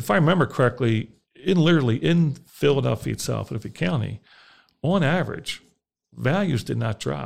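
Talking at a fairly quick pace, a man shows lively intonation and vocal fry. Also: medium pitch for a man. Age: 50s. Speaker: mortgage lender. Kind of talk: casual chat. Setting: studio. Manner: halting, repeats words.

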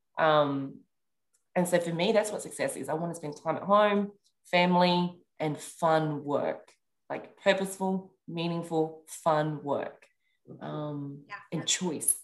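A woman talks in an ordinary speaking voice, fairly low in pitch, at a fairly slow pace. Her intonation stays fairly even while her loudness swings widely. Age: 30s. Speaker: clubhouse strategist and leadership coach. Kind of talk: casual chat.

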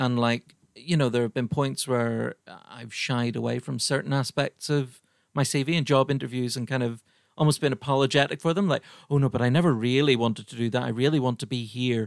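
Recorded very cleanly with a silent background and a dry, close sound with no echo, a man speaks at a fairly quick pace in a medium pitch with fairly even intonation. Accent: Irish. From Ireland. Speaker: podcast host and comedian. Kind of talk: casual chat.

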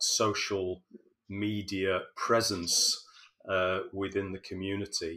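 Over a very clean recording with a silent background, a man speaks very slowly in a bright, sharp tone. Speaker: podcast host. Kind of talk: interview, polished host intro.

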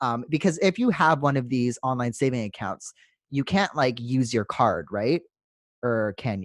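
A man with a Canadian accent and an unremarkable speaking voice talks at a moderate pace and medium pitch with lively intonation, in a dry, close sound with no echo on a very clean recording against a silent background. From Canada. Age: 20s. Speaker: podcast host. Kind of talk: casual chat.

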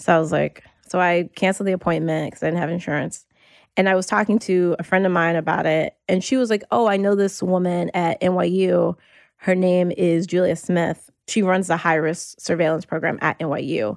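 On a very clean recording with a silent background, a woman with an American accent speaks at a moderate pace in an unremarkable speaking voice, fairly low in pitch with ordinary variation. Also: very even loudness, dry, close sound with no echo. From US South, North Carolina. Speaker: attorney, writer and health awareness advocate. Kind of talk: interview, personal testimony.

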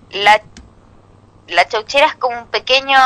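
A woman with a Chilean accent speaks at a moderate pace in a bright, sharp tone. The sound is dry and close with no echo. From Chile, Santiago. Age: 30s. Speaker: comedian. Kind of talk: stand-up.

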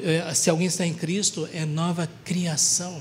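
A man speaks at a high pitch with monotone, flat intonation. Noticeable background noise and audible room echo come through. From Brazil, Paraná. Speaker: preacher. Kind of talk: sermon.

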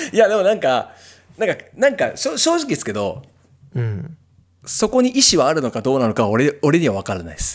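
Moving at a fairly quick pace, a man speaks at a fairly high pitch with very wide pitch swings and vocal fry. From Japan, Kitakyushu, Fukuoka. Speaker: singer-songwriter and podcast host. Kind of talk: casual chat.

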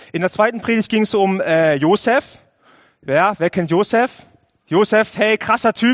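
In a dry, close sound with no echo, a man with a high pitch speaks in an animated tone with ordinary pitch variation, at a fairly slow pace with long, frequent pauses. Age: 20s. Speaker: youth worker and lay preacher. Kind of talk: sermon.

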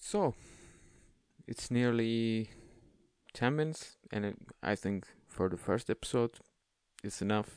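Speaking very slowly with long, frequent pauses, a man with a non-native accent shows ordinary pitch variation. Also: medium pitch for a man. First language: not English. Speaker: podcast host. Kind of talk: monologue advice podcast. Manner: halting; casual.

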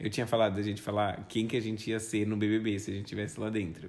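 There is audible room echo as a man with a fairly low pitch talks at a fairly quick pace. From Brazil, São Paulo city. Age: 20s. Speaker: podcast co-host, university student. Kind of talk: casual chat.

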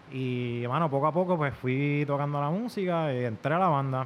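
At a moderate pace, a man with a fairly high pitch and ordinary pitch variation talks in an unremarkable speaking voice. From Puerto Rico (Isabela), born in Virginia. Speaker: musician, trombonist. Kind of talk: casual chat.

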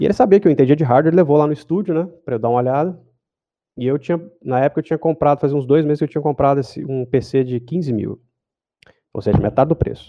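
A man speaks very fast at a fairly high pitch. His pitch varies in an ordinary way. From Goiânia, Brazil. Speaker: motion designer. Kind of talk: casual interview.

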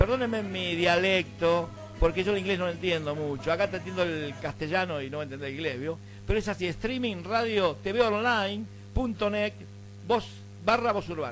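A man with a high pitch speaks at a moderate pace with very wide pitch swings. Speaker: radio host. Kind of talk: casual radio chat with anecdotes. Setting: radio studio. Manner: animated.

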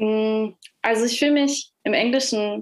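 In a normal speaking voice, a woman talks at a fairly high pitch with fairly even intonation. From Nuremberg, Germany. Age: young. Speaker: singer-songwriter. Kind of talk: interview.

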